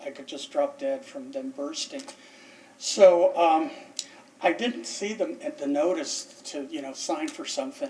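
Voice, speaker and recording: A man speaks at a fairly slow pace with noticeable background noise. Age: 60s. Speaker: military veteran, respondent at code enforcement hearing. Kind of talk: testimony. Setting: city council chambers hearing. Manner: halting, with frequent repetitions.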